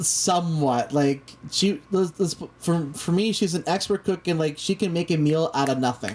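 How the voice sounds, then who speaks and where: A man speaks at a high pitch. Noticeable background noise runs through the clip. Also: ordinary pitch variation, moderate pace, very even loudness. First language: Spanish. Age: 20s. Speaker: talk show host and streamer. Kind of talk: casual chat.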